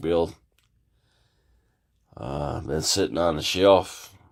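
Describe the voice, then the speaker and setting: A man with a very deep, low voice is heard in a very clean recording with a silent background. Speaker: scale model builder. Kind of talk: casual tutorial talk to camera.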